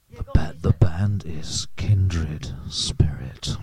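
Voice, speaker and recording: A man puts on a character voice with a very deep, low pitch. Faint music plays in the background. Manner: rock style delivery.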